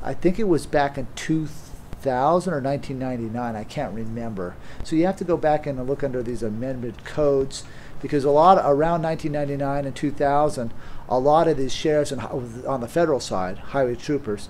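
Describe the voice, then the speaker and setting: With light background noise, a man speaks at a moderate pace and ordinary pitch variation. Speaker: presenter. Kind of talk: lecture. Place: meeting room.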